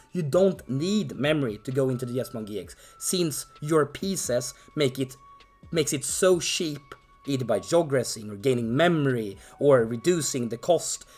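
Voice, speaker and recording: Music plays in the background as a man speaks. His pitch is fairly high and his intonation lively. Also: moderate pace. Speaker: card game player. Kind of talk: casual talk to camera.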